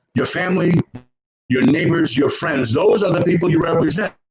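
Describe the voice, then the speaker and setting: This man talks at a fairly quick pace in a fairly high pitch, with ordinary pitch variation. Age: 60s. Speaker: political candidate. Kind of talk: candidate forum speech. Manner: halting, many repeated words and fillers.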